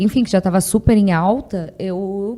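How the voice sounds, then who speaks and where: On a very clean recording with a silent background, a woman with a southern Brazilian accent speaks at a fairly slow pace. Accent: gaúcho accent, noticeable. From Rio Grande do Sul, southern Brazil. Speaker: dog trainer. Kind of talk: podcast interview. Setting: podcast studio.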